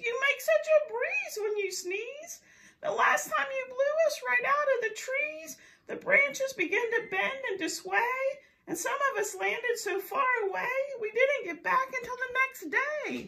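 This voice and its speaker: A woman puts on a character voice at an extremely high pitch, raised and projected, delivered at a moderate pace. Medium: read story. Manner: pleading, fretful.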